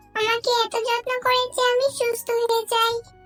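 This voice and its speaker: A cartoonish character voice at an extremely high pitch keeps a monotone, flat intonation at a moderate pace while clear music plays in the background. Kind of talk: children's cartoon voice acting. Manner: gentle, soothing.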